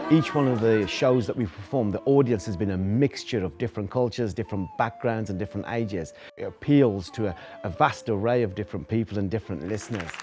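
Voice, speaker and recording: A man talks at a very fast pace with hardly any pauses. His pitch is fairly low, and music plays in the background. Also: ordinary pitch variation. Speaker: storyteller. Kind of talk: interview answer.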